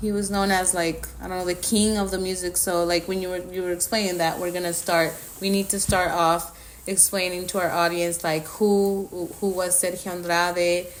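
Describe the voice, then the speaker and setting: Over noticeable background noise, a woman with a Spanish accent speaks at a moderate pace and medium pitch in a flat monotone. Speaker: podcast co-host. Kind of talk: casual chat.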